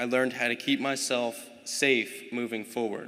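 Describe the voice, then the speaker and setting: Bright and sharp in tone, a man speaks with fairly even intonation and an American accent. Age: young. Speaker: welder. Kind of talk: prepared speech.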